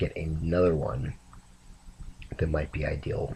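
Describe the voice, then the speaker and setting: A man speaks at a very deep, low pitch and a fairly slow pace. His voice is somewhat breathy. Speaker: vlogger. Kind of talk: casual rambling monologue. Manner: hesitant, many fillers.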